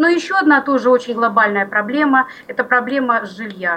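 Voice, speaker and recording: Lively intonation carries this fairly quick delivery over noticeable background noise. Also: woman. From Belgorod region, Russia. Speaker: regional library worker for the blind. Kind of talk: radio interview.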